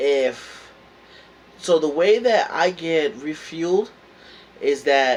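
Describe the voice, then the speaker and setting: A man with a New York accent amid noticeable background noise. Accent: New York accent, still there. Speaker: motivational vlogger. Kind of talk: motivational talk. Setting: indoors at home, heater on. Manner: casual, hesitant with fillers.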